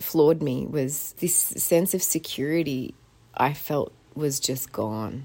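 A woman with an Australian accent, very deep and low in pitch, dark and mellow in tone, at a fairly slow pace, with ordinary pitch variation. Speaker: podcast host. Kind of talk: casual chat. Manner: halting.

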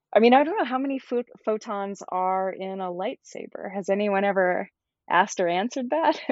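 A woman with an American accent and a plain, everyday voice talks at a fairly quick pace, medium in pitch with lively intonation. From US South, Georgia. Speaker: somatics and yoga teacher. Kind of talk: casual chat.

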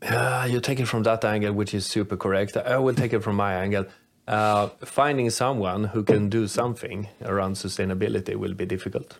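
A man with a Swedish accent speaks at a fairly quick pace, his pitch fairly low and his intonation fairly even. The recording is very clean, with a silent background. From Sweden. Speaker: podcast co-host, metallurgist. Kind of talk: casual chat.

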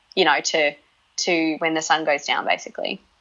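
Australian-accented woman at a moderate pace, fairly low in pitch. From Northern Territory, Australia. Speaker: naturopath and nutritionist. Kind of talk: interview conversation. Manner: hesitant, many fillers.

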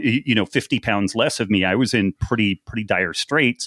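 This man has an unremarkable speaking voice, a fairly low pitch and a fairly quick pace. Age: 50s. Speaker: nutrition author and former research biochemist. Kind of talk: casual interview chat.

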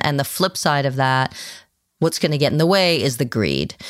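A woman's very deep, low-pitched voice comes through with an American accent. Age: 50s. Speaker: psychiatrist and author. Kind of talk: interview.

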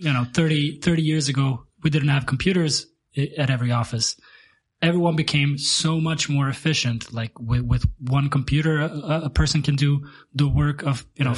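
The man's voice is fairly high and somewhat breathy. He keeps a moderate pace and fairly even intonation. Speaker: podcast host. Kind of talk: casual chat.

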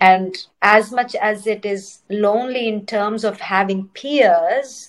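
A woman with an Indian accent speaks at a medium pitch with ordinary pitch variation. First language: Telugu. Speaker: dancer and choreographer. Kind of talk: casual interview chat. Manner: eloquent, thoughtful.

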